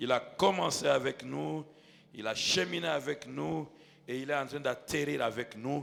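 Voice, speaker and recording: Noticeable background noise sits under a man's fairly slow delivery. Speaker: pastor. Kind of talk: sermon. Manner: loud.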